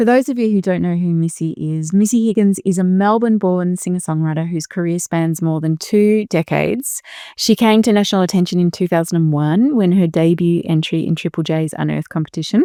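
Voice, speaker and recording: A woman with an Australian accent talks fairly quickly at a fairly low pitch with ordinary pitch variation and a dark, mellow tone, on a very clean recording with a silent background and a dry, close sound with no echo. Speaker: podcast host. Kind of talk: interview introduction and casual conversation.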